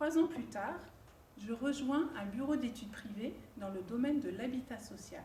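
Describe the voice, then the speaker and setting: At a fairly slow pace with ordinary pitch variation, the speech carries big swings in loudness over noticeable background noise and audible room echo. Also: woman, high pitch for a woman. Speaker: student and career changer. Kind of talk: prepared personal testimony.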